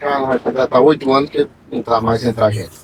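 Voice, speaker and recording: A man talks at a moderate pace in an ordinary speaking voice. His pitch is medium with ordinary pitch variation. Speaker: repentista poet. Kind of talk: casual interview chat.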